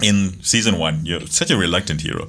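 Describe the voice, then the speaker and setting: A man's fairly low voice carries audible echo from the room. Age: middle-aged. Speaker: podcast co-host. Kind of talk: casual chat. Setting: studio.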